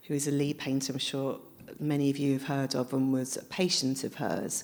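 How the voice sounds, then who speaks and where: In a very clean recording with a silent background, a woman with a southern English accent speaks in a very deep, low voice. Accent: southern English, flat vowels. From London. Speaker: author. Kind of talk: live public interview. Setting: library event with audience.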